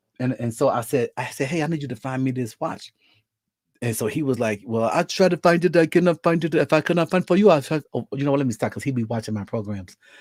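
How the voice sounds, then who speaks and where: A man with a fairly high voice talks at a very fast pace in an animated tone, with lively intonation. The sound is dry and close, with no echo. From Mississippi. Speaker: livestream host and preacher. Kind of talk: casual livestream chat.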